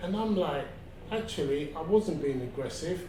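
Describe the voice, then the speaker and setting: Loud and with lively intonation, a high-pitched man speaks amid audible room echo and noticeable background noise. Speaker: interviewee on health awareness. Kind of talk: interview testimony.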